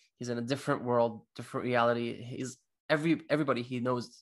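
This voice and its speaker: Against a quiet background, a man talks at a fairly quick pace with a medium pitch and monotone, flat intonation. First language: not English. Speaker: comic book podcast co-host. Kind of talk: casual chat.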